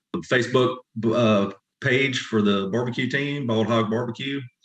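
Speaking in a Southern US accent, a man keeps a fairly slow pace and ordinary pitch variation. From South Carolina. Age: 50s. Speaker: competition barbecue pitmaster. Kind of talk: casual interview.

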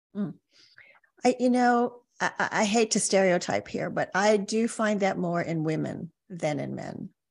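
A woman speaks at a fairly slow pace with a medium pitch and ordinary pitch variation. She has a plain, everyday voice. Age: 60s. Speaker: life coach. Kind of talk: interview podcast conversation.

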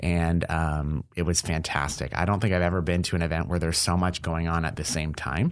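Very deep and low, a man's voice in an Ontario accent runs at a fairly quick pace with hardly any pauses, fairly even intonation and very even loudness. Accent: Canadian (Ontario). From Windsor, Ontario, Canada. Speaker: healthcare innovator. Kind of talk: casual interview chat. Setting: studio.

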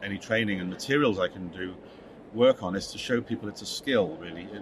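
A man speaks at a very fast pace with fairly low pitch and ordinary pitch variation. Noticeable background noise is present. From Wirral, north-west England. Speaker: English language trainer and publishing specialist. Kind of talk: casual interview chat. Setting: conference venue.

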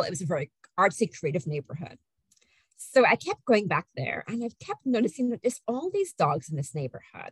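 A woman's voice is somewhat breathy. The sound is dry and close, with no echo. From Guyana. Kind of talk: casual chat interview.

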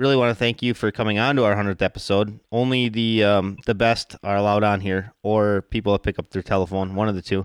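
In a very clean recording with a silent background and a dry, close sound with no echo, a man speaks with an American accent at a fairly quick pace. He has a plain, everyday voice, a medium pitch and fairly even intonation. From Wisconsin. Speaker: fishing podcast host. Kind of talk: casual interview chat.

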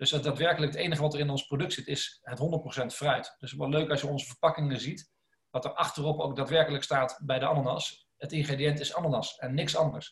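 Speaking at a very fast pace, a man with a fairly high pitch sounds somewhat breathy and keeps a monotone, flat intonation. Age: 30s. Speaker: food company co-founder. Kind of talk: podcast interview.

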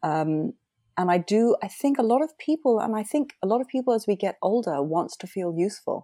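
A woman with a British accent speaks fairly quickly at a fairly high pitch, her voice swinging very widely in pitch. Her tone is dark and mellow, and the sound is dry and close with no echo. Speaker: former oil trader and marketer. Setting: speaking from Cape Cod, remote call.

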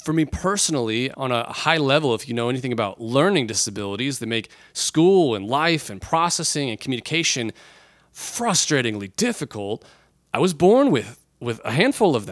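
In a very clean recording with a silent background, a man with an ordinary speaking voice talks at a moderate pace and medium pitch, with lively intonation. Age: 30s. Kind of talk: Bible reading and commentary.

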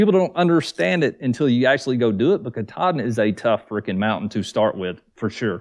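A man with a Southern US accent talks at a fairly quick pace and hardly pauses at all. His pitch swings very widely, and the background is quiet. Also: medium pitch for a man. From US South, Georgia near Atlanta. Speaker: thru-hiker, YouTuber, Marine veteran. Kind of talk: casual chat.

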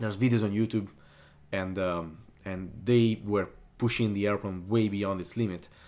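This is a man's voice. It sits fairly low, with ordinary pitch variation. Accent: Italian. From Italy (Sardinia). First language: Italian. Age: young. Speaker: aerobatic pilot. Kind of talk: interview. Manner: energetic.

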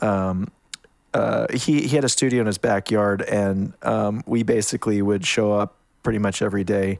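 In a Western Canadian accent, a man talks at a moderate pace in a fairly low pitch, keeping his intonation fairly even and his loudness very even. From Canada, small town in Alberta. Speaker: music producer and mixing engineer. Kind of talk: interview. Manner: halting, many fillers and restarts.

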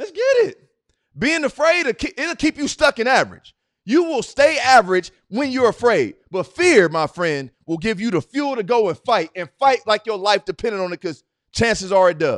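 In a quiet background with a dry, close sound and no echo, a man speaks loudly in an animated tone at an extremely high pitch, with very wide pitch swings and a moderate pace. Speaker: motivational speaker. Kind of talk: motivational talk.

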